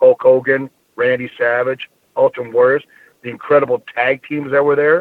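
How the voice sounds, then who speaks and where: A man delivers his words fairly quickly, his intonation staying fairly even. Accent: American. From US Midwest, Minnesota. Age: 50s. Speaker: former pro wrestler. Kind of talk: interview.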